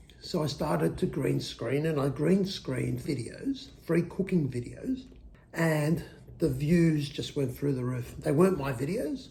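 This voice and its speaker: A man talks at a fairly slow pace with a fairly high pitch and ordinary pitch variation. His tone is dark and mellow, with vocal fry. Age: old. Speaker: YouTuber. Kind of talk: casual talk to camera, personal story.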